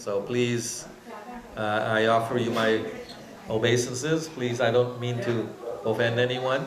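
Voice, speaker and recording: Long, frequent pauses break up a man's medium-pitched speech, his intonation fairly even, with noticeable background noise and audible room echo. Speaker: temple speaker. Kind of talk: religious class with audience questions. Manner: hesitant with fillers.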